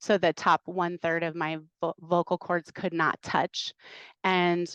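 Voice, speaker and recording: A woman with an American accent and a normal speaking voice, fairly low in pitch with fairly even intonation, at a fairly slow pace, over a quiet background with dry, close sound and no echo. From northern US. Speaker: missionary trainer. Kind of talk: podcast interview testimony.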